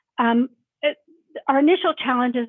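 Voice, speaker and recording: The woman's delivery comes at a fairly quick pace. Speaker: university IT staff presenter. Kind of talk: conference presentation. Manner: fast.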